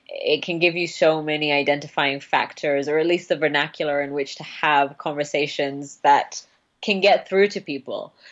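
With ordinary pitch variation, a woman talks at a fairly slow pace in a very deep, low pitch. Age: 20s. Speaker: podcaster. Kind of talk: casual chat.

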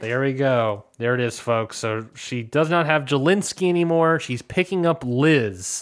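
A man with a plain, everyday voice, medium pitch and lively intonation, at a fairly slow pace with hardly any pauses. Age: 20s. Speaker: podcast host. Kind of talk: casual chat. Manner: laughs often.

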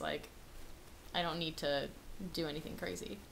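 Audible room echo fills the space. In it, a woman talks with an animated tone. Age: 20s. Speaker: college podcast co-host. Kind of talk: casual chat.

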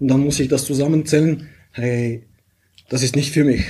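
A man's fairly high voice, somewhat breathy, with a dark, mellow tone. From Bulgaria. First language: Bulgarian (speaking German). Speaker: pilot and software founder. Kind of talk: interview.

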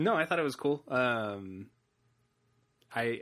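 At a medium pitch, a man speaks in a plain, everyday voice with ordinary pitch variation. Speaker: podcast host. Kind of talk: casual chat. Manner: relaxed, conversational.

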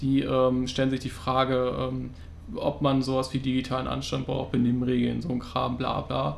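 Noticeable background noise and audible room echo around a man talking at a medium speed. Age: 20s. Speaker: podcast co-host, student. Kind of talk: casual chat.

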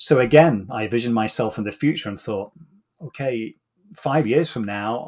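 A man talks in a British accent. His pitch is medium, with ordinary variation. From UK. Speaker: executive coach. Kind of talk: interview conversation.

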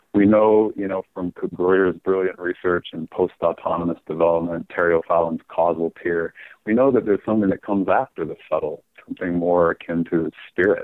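With an American accent, a man speaks at a very deep, low pitch, fairly quickly and with fairly even intonation. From Utah, US (Salt Lake City). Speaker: author. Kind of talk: casual chat. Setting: phone call.

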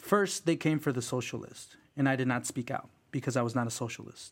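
A man with an ordinary speaking voice talks at a medium pitch and a moderate pace. The recording is very clean, with a silent background. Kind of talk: casual conversational interview.

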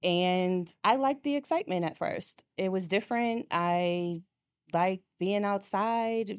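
Very slowly, a woman with an American accent speaks at medium pitch with ordinary pitch variation, on a very clean recording with a silent background, dry and close with no echo. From Boston. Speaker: nurse and domestic abuse survivor. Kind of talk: personal testimony in interview.

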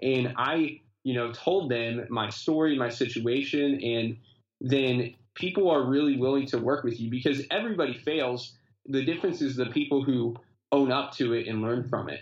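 This man talks in an ordinary speaking voice at a medium pitch, with ordinary pitch variation and a moderate pace. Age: 20s. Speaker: pastor. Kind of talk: interview.

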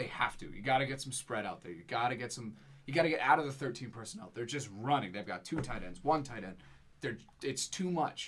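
Lively intonation marks this man's normal speaking voice at a medium pitch. He speaks at a fairly quick pace with big swings in loudness. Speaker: sports podcast co-host. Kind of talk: casual sports analysis chat.

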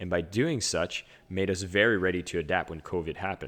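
Speaking at a fairly quick pace with a French Canadian accent, a man uses a very deep, low pitch with ordinary pitch variation. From Ottawa area, Canada. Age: 30s. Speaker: podcast host and speaker. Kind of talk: casual interview chat. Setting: video call.

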